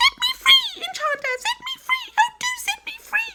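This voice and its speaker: Squeaky and extremely high in pitch, a put-on character voice talks at a moderate pace. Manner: pleading, desperate.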